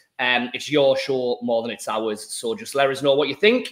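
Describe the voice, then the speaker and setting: With a Teesside accent, a man talks at a moderate pace in a fairly high pitch, swinging very widely up and down. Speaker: football podcast host. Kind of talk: casual chat. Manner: relaxed, with fillers.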